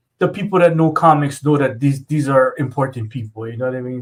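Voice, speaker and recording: A man speaks at a fairly high pitch with ordinary pitch variation. His voice is somewhat breathy. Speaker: comic artist and show co-host. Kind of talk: casual chat.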